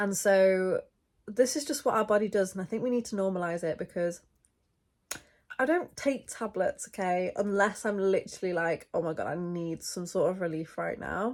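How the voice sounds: A woman speaks with a slightly mellow tone and ordinary pitch variation. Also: medium pitch for a woman, moderate pace.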